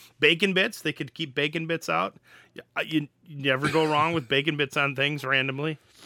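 A man with an American accent uses an ordinary speaking voice, fairly high in pitch, at a fairly quick pace with fairly even intonation. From Wisconsin. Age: 40s. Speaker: podcast co-host and college teacher. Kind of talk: casual chat.

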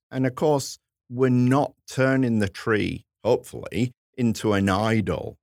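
A man with an English accent speaks at a fairly slow pace, his loudness very even. The sound is dry and close, with no echo. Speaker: history professor and podcast co-host. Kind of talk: casual chat.

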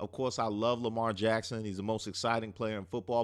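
In an animated tone, a man with an American accent speaks at a medium pitch against a quiet background. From US Mid-Atlantic, Prince George's County, Maryland. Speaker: sports podcast host and comedian. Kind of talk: casual comedic monologue.

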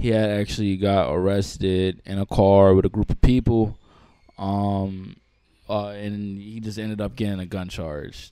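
A man with a New York accent speaks at a fairly low pitch and a fairly slow pace, his tone dark and mellow and his intonation flat and monotone. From Long Island, New York. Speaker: rapper. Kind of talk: casual interview. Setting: studio.

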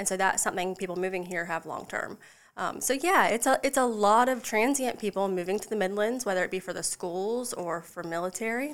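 In a South Carolina accent, a woman talks at a fairly quick pace with ordinary pitch variation. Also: medium pitch for a woman, hardly any pauses. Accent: US Southern, South Carolina. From South Carolina Lowcountry, Charleston area. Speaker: mortgage loan professional. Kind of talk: casual interview.

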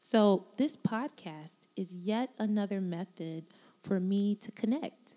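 A woman is speaking. Her intonation stays fairly even. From Miami, Florida, US South. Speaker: podcast host, singer and music professor. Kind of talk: casual monologue.

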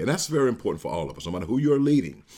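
Vocal fry marks a man's voice, which has ordinary pitch variation on a very clean recording with a silent background. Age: 50s. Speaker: podcast host and leadership speaker. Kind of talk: solo motivational talk. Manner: halting, many fillers and repetitions.

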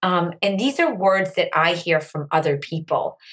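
A woman with an American accent speaks at a moderate pace in an unremarkable speaking voice, her pitch fairly low. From US Northeast, Andover, Massachusetts. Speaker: social media educator and entrepreneur. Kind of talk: interview.

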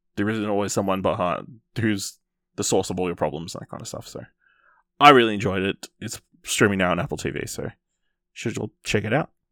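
On a very clean recording with a silent background and a dry, close sound with no echo, a man with an Australian accent speaks at a fairly low pitch in a bright, sharp tone, with big swings in loudness and long, frequent pauses. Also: ordinary pitch variation, fairly quick pace. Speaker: podcast host. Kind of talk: casual discussion.

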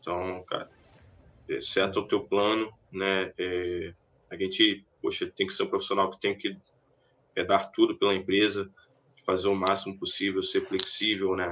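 A man at a fairly slow pace, with long, frequent pauses, against a quiet background. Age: 20s. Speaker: database professional. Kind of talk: casual interview. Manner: halting.

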